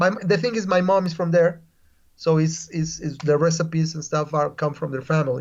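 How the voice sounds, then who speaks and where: This man has a high-pitched voice with ordinary pitch variation. He talks at a fairly quick pace with a Spanish accent. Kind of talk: casual interview. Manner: halting, repetitive; lively.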